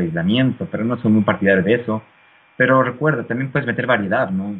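A man at a medium pitch, very fast pace and lively intonation. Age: 30s. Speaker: fitness YouTuber. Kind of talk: interview.

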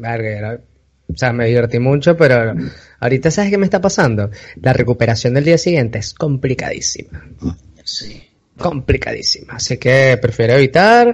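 Somewhat breathy, a man speaks with a Venezuelan accent at a moderate pace, his intonation lively. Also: medium pitch for a man. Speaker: podcast host. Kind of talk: casual chat. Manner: animated.

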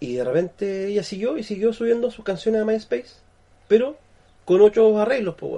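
With a Chilean accent and a high pitch, a man speaks at a fairly quick pace with lively intonation and big swings in loudness. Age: 40s. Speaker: podcast co-host. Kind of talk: casual chat.

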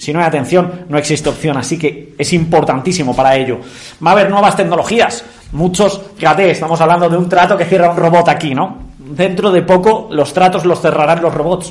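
The delivery is animated and fairly quick, with ordinary pitch variation over noticeable background noise. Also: man, high pitch for a man. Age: 30s. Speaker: sales trainer. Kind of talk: online masterclass. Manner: fast.

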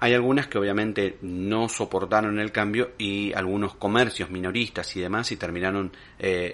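With a plain, everyday voice, a man speaks at a fairly low pitch and a moderate pace with fairly even intonation. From Argentina, Lomas de Zamora (Buenos Aires province). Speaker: podcast host. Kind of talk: monologue commentary.

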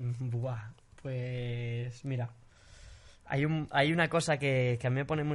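At a fairly slow pace, a man of medium pitch speaks in a flat, monotone way, his voice somewhat breathy. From Spain. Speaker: singer. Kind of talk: casual chat.

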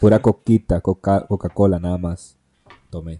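This man has a Costa Rican accent and a dark, mellow tone, speaking at a moderate pace with fairly even intonation in dry, close sound with no echo. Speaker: podcast host. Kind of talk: history narration; casual chat.

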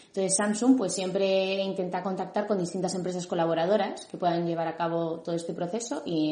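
Fairly even in intonation, the speech comes at a very fast pace with audible room echo. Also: woman. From Madrid, Spain. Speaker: educational psychologist. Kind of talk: interview.

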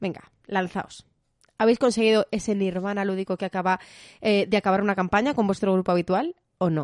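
A woman of medium pitch speaks at a very fast pace, the sound dry and close with no echo over a quiet background. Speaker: board game podcast host and teacher. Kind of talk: casual chat.

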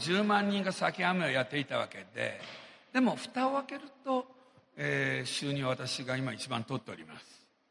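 Pitch swings very widely and loudness shifts greatly, with long, frequent pauses at a moderate pace. Background noise is noticeable. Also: man. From Japan. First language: Japanese (speaking Portuguese). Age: 60s. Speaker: businessman. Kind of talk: motivational speech. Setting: stage with audience.

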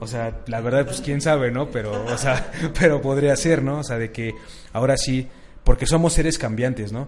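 A man talks at a medium pitch and a moderate pace, with fairly even intonation. Music plays in the background. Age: 20s. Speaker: marketing student and bodybuilder. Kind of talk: casual chat.

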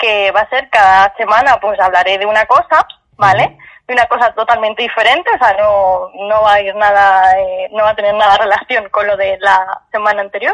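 A woman has an ordinary speaking voice at a medium pitch, with fairly even intonation and a moderate pace. The sound is dry and close, with no echo. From Castilla-La Mancha, Spain. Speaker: journalist. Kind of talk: casual chat.

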